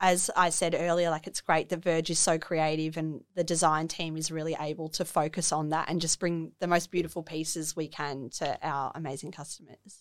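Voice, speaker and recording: A woman with an Australian accent talks at a moderate pace in a monotone, flat voice, with hardly any pauses. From Melbourne, Australia. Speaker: fashion designer. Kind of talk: casual interview chat. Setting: studio.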